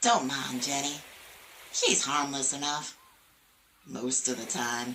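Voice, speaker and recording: A woman's put-on character voice, very deep and low in pitch, at a fairly slow pace. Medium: solo performance. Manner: chatty, folksy, teasing.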